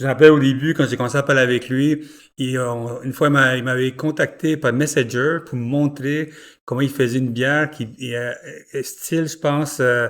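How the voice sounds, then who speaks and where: A fairly high-pitched man speaks at a moderate pace in a flat monotone. The recording is very clean and the background silent. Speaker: podcast host, beer journalist. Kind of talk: interview podcast. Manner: casual, halting with many fillers.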